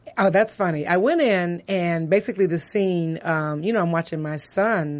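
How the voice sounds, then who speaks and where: This woman has a normal speaking voice, fairly low in pitch, with ordinary pitch variation and a moderate pace. Her loudness swings widely against a quiet background. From US Midwest, Detroit. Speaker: actress. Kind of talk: casual interview. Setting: studio.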